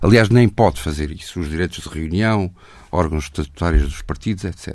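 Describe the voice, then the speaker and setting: At a moderate pace, a man speaks with a very deep, low pitch on a very clean recording with a silent background. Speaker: journalist interviewer. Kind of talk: political interview. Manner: rising pitch.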